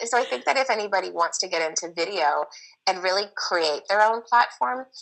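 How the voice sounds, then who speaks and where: Her voice shows vocal fry and very wide pitch swings as the woman talks at a moderate pace. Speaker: nutritionist and acupuncturist. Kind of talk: casual interview. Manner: loud; energetic.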